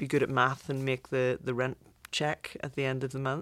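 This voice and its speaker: A woman with a very deep, low pitch speaks at a moderate pace in a very clean recording with a silent background. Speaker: visual effects executive. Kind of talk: casual interview.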